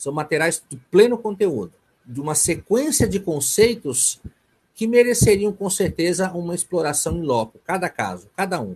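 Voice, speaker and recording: The intonation is lively, with big swings in loudness. The pace stays moderate. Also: man, high pitch for a man. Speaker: psychoanalyst lecturer. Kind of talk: online lecture (webinar). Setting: video conference webinar.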